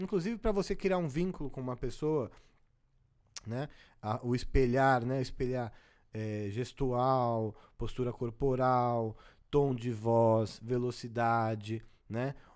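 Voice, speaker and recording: Long, frequent pauses break up a man's very slow speech, which has a medium pitch and ordinary pitch variation. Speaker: social intelligence coach. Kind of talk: interview.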